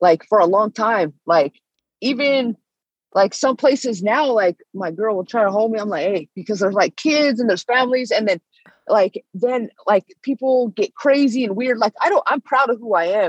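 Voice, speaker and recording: An unremarkable speaking voice from a woman with an American accent, fairly high in pitch, at a moderate pace with lively intonation, the sound dry and close with no echo. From US West Coast, Northern California Bay Area. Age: 30s. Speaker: bare knuckle fighter. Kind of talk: casual interview.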